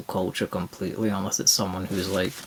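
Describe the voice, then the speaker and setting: A quiet man's voice with very deep, low pitch, fairly even intonation and a moderate pace. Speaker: co-host of gaming podcast. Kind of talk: casual chat. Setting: late-night home recording. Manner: quiet, subdued.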